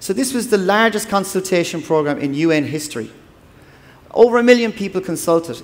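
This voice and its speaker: Lively intonation marks this man's speech, delivered with an Irish accent. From Ireland. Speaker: development agency official. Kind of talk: conference talk. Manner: fast.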